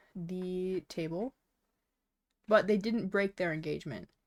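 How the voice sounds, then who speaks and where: At a fairly slow pace, a woman mumbles with medium pitch and ordinary pitch variation. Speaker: VTuber streamer. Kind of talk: casual livestream chat while drawing. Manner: mumbling; frequent fillers, casual. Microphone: sounds a bit quiet.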